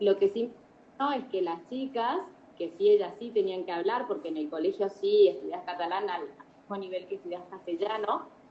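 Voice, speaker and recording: The woman's voice sits at a medium pitch with ordinary pitch variation and a moderate pace. Noticeable background noise runs under it. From Argentina. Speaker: educator and emigrant mother. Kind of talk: interview. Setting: video call. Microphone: poor connection, low volume.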